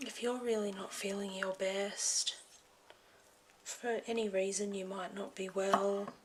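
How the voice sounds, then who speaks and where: A woman whispers in a soft-spoken way at a fairly slow speed, with noticeable noise behind her. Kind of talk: ASMR health motivation talk. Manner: soft-spoken, whispered.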